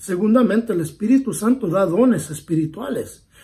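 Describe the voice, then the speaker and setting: The tone of this man's voice is dark and mellow. Ordinary variation runs through his pitch. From United States. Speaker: pastor. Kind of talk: bible study. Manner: earnest, pleading.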